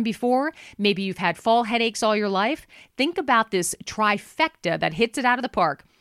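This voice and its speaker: A woman's fairly high voice with a warm, animated tone and lively intonation, at a moderate pace, with a dry, close sound and no echo. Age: 50s. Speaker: radio host and voiceover artist. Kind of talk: host-read pitchman ad for a rehab hotline, earnest and urgent; casual chat monologue with listeners. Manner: warm, chummy direct address, repeating the phone number in punchy beats; animated, conversational.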